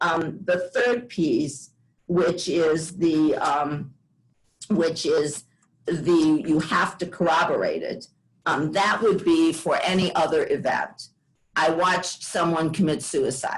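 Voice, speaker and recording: Somewhat breathy and fairly low in pitch, a woman speaks at a very slow pace with fairly even intonation. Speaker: law clinic attorney. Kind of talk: panel presentation. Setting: video call webinar.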